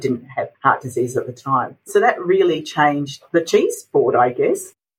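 The speaker is a woman with an Australian accent. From Australia, Adelaide. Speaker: dietitian. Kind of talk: interview.

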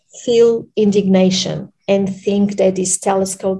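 Speaking at a fairly slow pace with fairly even intonation, a woman talks with a Portuguese accent. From Portugal, Lisbon. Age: 40s. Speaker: researcher. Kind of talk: interview. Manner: halting, many fillers.

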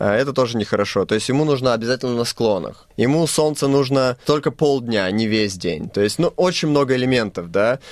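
A man speaks at a fairly quick pace with lively intonation, medium pitch, and hardly any pauses. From Moldova. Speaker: winemaker. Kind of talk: interview. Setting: studio. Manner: halting.

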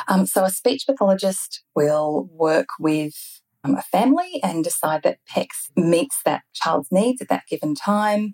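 A woman speaks in an unremarkable speaking voice at a medium pitch, fairly slow pace and with hardly any pauses. Her intonation is lively, her loudness very even, and the sound dry and close with no echo. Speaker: speech pathologist. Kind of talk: interview.

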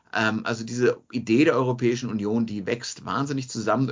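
A man talks at a moderate pace with a medium pitch. He has an unremarkable speaking voice. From Bavaria, Munich. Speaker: demographer. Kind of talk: radio interview.

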